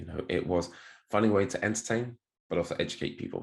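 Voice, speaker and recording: A man with a British accent speaks with ordinary pitch variation over a quiet background. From United Kingdom. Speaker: crypto marketing executive and speed reading coach. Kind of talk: podcast interview.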